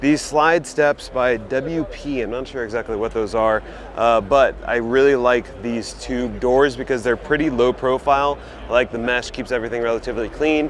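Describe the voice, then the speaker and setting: Amid noticeable background noise, a man with a medium pitch speaks in an enthusiastic tone at a moderate pace. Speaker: automotive video host. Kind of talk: walkaround vehicle showcase. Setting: trade show floor. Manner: casual, enthusiastic.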